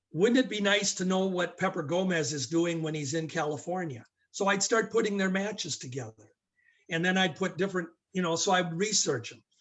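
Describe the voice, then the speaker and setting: A fairly quick delivery in an American accent, with ordinary pitch variation. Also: man, high pitch for a man. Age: 60s. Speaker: wrestling historian. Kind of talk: podcast interview.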